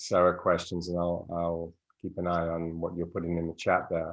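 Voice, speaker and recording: A male speaker, moderately paced, in a quiet setting. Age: 60s. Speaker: podcast host. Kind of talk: live Q and A interview. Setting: live stream video call. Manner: halting, many fillers and repeats.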